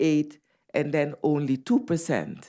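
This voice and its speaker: A dark, mellow tone with a Dutch Caribbean accent at a very slow pace, on a very clean recording with a silent background. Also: woman. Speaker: medical doctor and public health official. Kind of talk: conference talk.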